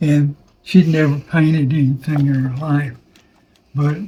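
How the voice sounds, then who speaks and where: The man's voice sits at a fairly high pitch, with a dark, mellow tone. He sounds somewhat breathy and keeps his intonation fairly even. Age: 80s+. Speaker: war veteran. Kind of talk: interview answer.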